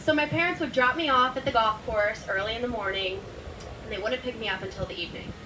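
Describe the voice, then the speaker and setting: Noticeable background noise sits behind a woman's high-pitched voice. She talks very fast with very wide pitch swings. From Florida. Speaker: professional golfer. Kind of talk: keynote speech.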